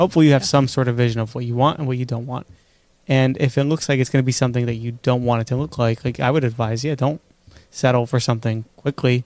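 Speaking very fast, a man talks in a New York accent. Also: medium pitch for a man, fairly even intonation. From New York, Queens and Five Towns. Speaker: podcast co-host. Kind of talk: casual chat.

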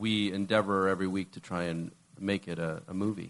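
This man has a normal speaking voice. His pitch sits fairly low. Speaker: executive producer. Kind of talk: casual panel interview.

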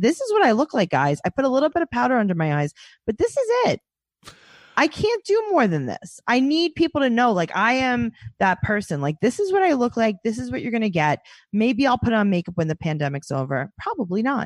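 A woman's fairly high voice with very wide pitch swings at a fairly quick pace, dry and close with no echo, over a quiet background. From New York City. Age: 30s. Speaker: comedian and podcast host. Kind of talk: casual chat. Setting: video call.

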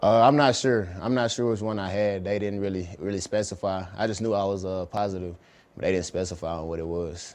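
With a Southern US accent, a man talks fairly quickly at a fairly low pitch, his intonation fairly even. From Alabama, Dothan. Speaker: pro football player. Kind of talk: interview.

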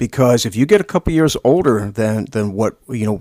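This man has a plain, everyday voice, with an American accent and a medium pitch that varies in an ordinary way. He talks at a fairly quick pace, and the sound is dry and close with no echo. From Lancaster County, Pennsylvania. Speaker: podcast co-host. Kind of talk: casual chat.

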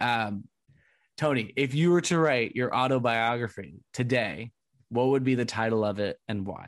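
A man with an American accent and an unremarkable speaking voice, at medium pitch and a moderate pace, with ordinary pitch variation against a quiet background. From Southern California. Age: 20s. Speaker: podcast host. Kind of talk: casual interview chat.

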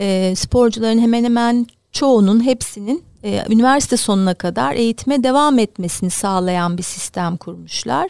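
On a very clean recording with a silent background, a woman with an unremarkable speaking voice talks at a fairly high pitch with lively intonation. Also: moderate pace. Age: 50s. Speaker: basketball club director, former player. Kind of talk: interview.

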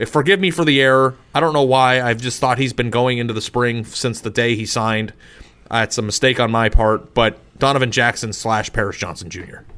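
This man has an American accent and a bright, sharp tone at medium pitch. He talks at a fairly quick pace with ordinary pitch variation. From Arizona. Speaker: sports podcast co-host. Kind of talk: casual chat.

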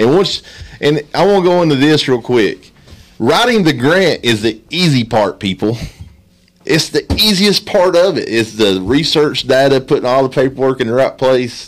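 At a moderate pace, a man with an Appalachian accent uses a fairly high pitch and lively intonation while keeping his loudness very even. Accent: Appalachian Kentucky. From Letcher County, eastern Kentucky. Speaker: nonprofit director. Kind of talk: casual chat.

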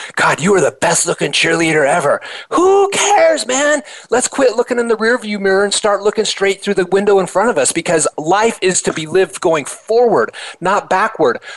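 Over noticeable background noise, a man with a high pitch talks at a moderate pace, his tone animated and his intonation lively. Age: 50s. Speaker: motivational speaker and author. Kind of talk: interview.

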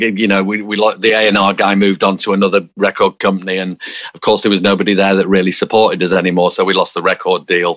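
Speaking at a very fast pace, a man uses a fairly low pitch. His intonation is monotone and flat. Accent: Manchester. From South Manchester, England. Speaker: musician. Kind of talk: interview. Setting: video call.

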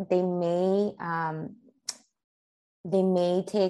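The speaker has a Spanish accent. The background is quiet. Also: woman. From Tijuana, Mexico. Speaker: therapist. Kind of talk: interview.

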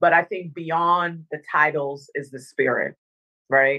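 A woman's very deep, low voice, bright and sharp in tone, with a slight Dominican accent and fairly even intonation against a quiet background. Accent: slight Caribbean (Dominican). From Northern Virginia, US (born in Dominica). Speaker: motivational speaker and former TV anchor. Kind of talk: interview. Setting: remote call.

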